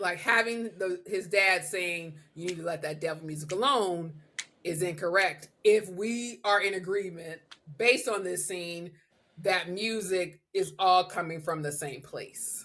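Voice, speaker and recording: With a normal speaking voice, a woman talks at a fairly slow pace. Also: medium pitch for a woman, ordinary pitch variation. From Southern US. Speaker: podcast host. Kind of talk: podcast conversation.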